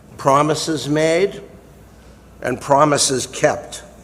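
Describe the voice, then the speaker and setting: With an American accent, a man speaks at a very slow pace, his pitch fairly high with ordinary variation. Noticeable background noise runs underneath. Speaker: retired lawyer and Air Force veteran. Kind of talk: prepared speech introduction.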